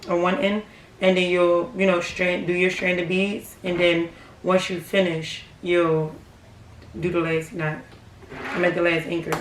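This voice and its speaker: With audible room echo and noticeable background noise, a woman speaks in a fairly low pitch with fairly even intonation. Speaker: craft tutorial youtuber. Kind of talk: tutorial. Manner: quiet, hushed; casual, filler-heavy.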